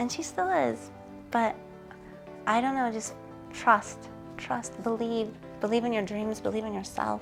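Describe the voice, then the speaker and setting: A soft-spoken woman at a fairly slow pace, with long, frequent pauses and music in the background. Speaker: supermodel and author. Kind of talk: interview answer.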